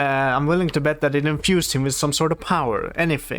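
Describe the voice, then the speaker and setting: A man talks at a fairly quick pace with a non-native accent. His pitch is fairly high. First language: not English. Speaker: reaction video creator. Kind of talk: reaction commentary. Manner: halting, many fillers.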